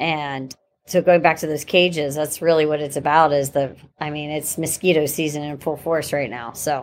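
Speaking with an American accent, a woman with a very deep, low pitch keeps a fairly even intonation while her loudness swings widely. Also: moderate pace, very clean recording, silent background. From Pittsburgh, western Pennsylvania. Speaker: vertical farming company founder. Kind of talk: interview.

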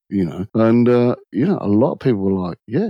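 A man with an English accent and a fairly low pitch is heard on a very clean recording with a silent background. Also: dry, close sound with no echo. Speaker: automotive diagnostician and former shop owner. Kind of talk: casual chat.

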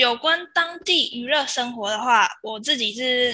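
Bright and sharp in tone, the woman's voice is fairly high in pitch. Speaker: former exchange student. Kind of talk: interview.

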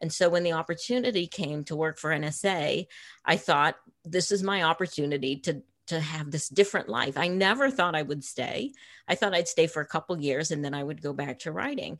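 Against a quiet background, a woman with an American accent speaks fairly quickly. Her intonation is lively. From Massachusetts, US. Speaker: novelist and former intelligence analyst. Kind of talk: interview.

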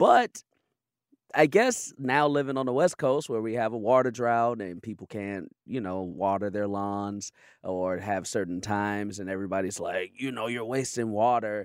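The man has a normal speaking voice at medium pitch with ordinary pitch variation. He talks at a moderate pace on a very clean recording with a silent background. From Chicago, South Side. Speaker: comedian. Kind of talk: casual chat.

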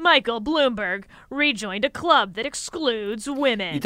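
A woman's put-on character voice, fairly high with very wide pitch swings, at a moderate pace on a very clean recording with a silent background. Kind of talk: attack-ad announcer. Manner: dark, ominous.

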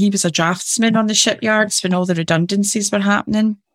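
A woman's medium-pitched voice with a Glasgow accent, fairly even intonation and a fairly quick pace, dry and close with no echo, on a very clean recording against a silent background. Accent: Scottish (Glasgow area). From Scotland, near Glasgow. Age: 50s. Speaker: business advisor and motivational speaker. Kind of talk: interview conversation.

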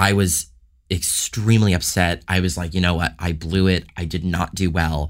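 A man with a very deep, low pitch talks at a moderate pace with fairly even intonation. The recording is very clean, with a silent background. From Canada, Toronto. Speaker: violinist. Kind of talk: interview.

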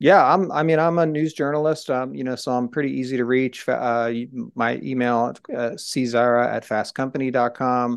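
Against a quiet background, a man with an American accent talks at medium pitch with ordinary pitch variation. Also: moderate pace, hardly any pauses. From New Jersey, Trenton. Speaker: journalist and author. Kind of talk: interview. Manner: halting.

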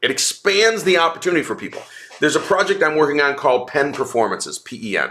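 Fairly high for a man, this voice talks at a fairly quick pace with very wide pitch swings. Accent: American. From upstate New York. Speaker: tech entrepreneur. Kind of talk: interview.

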